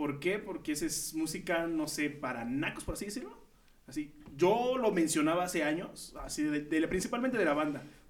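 A man with an ordinary speaking voice talks at a fairly quick pace in a fairly high pitch. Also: lively intonation. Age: 20s. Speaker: podcast host. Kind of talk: casual chat.

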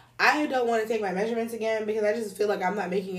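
Very fast speech from a woman at a medium pitch, with audible room echo. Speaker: podcast co-host. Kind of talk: casual chat.

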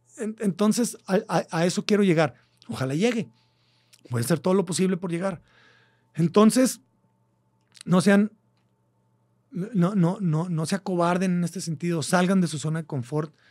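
A man with a Mexican accent and a high pitch speaks with ordinary pitch variation and long, frequent pauses. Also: moderate pace. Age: 40s. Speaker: podcast host. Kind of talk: casual monologue. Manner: animated.

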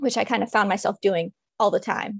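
The sound is dry and close, with no echo. A woman speaks against a quiet background. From Maryland, DC/Baltimore area. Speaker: writer and blogger. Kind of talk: casual chat. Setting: video call.

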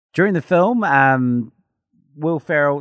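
With a New Zealand accent, a man speaks at a moderate pace with lively intonation. The recording is very clean and silent in the background, with a dry, close sound and no echo. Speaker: podcast co-host. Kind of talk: casual chat.

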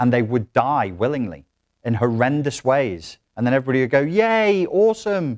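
A man with a British accent has an animated tone, very wide pitch swings and very even loudness at a moderate pace. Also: medium pitch for a man. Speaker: self-help coach. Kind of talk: workshop lecture. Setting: stage with audience.

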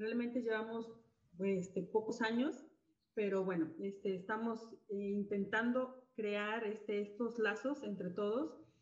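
This woman has a fairly high pitch and fairly even intonation. She talks at a very slow pace. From Mexico, Guadalajara, Jalisco. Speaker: music educator, association president. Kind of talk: casual interview. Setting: live video stream.

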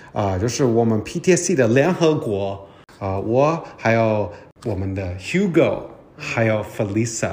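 The speech moves at a fairly slow pace with very wide pitch swings, recorded with audible room echo and noticeable background noise. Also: man, medium pitch for a man. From United States. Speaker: podcast host, corporate learning officer. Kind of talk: casual interview. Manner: halting, with many fillers.

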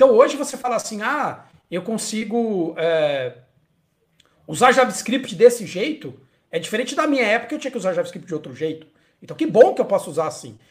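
Speaking at a fairly quick pace, a man with a high-pitched voice makes very wide pitch swings and big swings in loudness. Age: 40s. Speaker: UX designer and content creator. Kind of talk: casual chat. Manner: halting, many repetitions.

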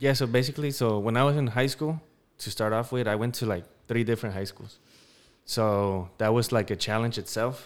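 With an American accent and an ordinary speaking voice, a man talks at a medium pitch with ordinary pitch variation on a very clean recording with a silent background. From Denver, Colorado. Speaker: podcast co-host, military veteran. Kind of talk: casual chat.

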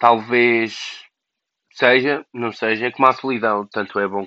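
Here a man talks at a fairly slow pace with a medium pitch. His intonation is fairly even. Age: 20s. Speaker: podcaster. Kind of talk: personal monologue. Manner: halting.

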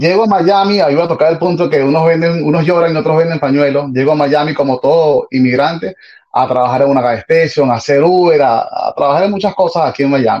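A man's fairly high voice at a very fast pace, with hardly any pauses, very even loudness and ordinary pitch variation. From Venezuela, Caracas. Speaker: salsa DJ. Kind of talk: interview. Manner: halting.

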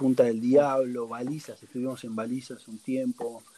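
With a Rioplatense accent, a man speaks fairly slowly at a medium pitch with lively intonation. Noticeable background noise can be heard. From Argentina, Buenos Aires. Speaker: traveling family sailor, former theater owner. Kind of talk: casual interview.

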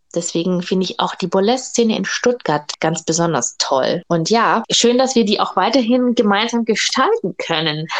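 A woman with a normal speaking voice and a fairly high pitch talks at a moderate pace with lively intonation and hardly any pauses. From Germany, Augsburg (Bavarian Swabia). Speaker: burlesque dancer and boutique owner. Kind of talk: casual interview chat.

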